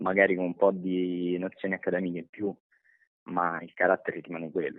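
Very deep, low male speech moving at a fairly quick pace. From Lazio, Monterotondo near Rome. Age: 18. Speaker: high school graduate. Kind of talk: interview testimony.

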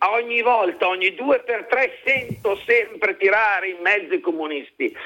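A man's raised, projected voice at a fairly slow pace, with lively intonation over noticeable background noise. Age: 40s. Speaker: radio caller. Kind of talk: call-in comment.

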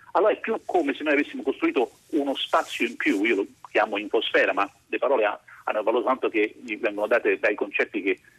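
The sound is dry and close, with no echo. The words come at a very fast pace. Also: man. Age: 50s. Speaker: philosophy professor. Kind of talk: radio interview.

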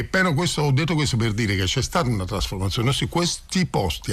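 The pitch swings very widely. Noticeable background noise sits behind the voice. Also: man. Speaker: community association founder. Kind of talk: radio interview. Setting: studio.

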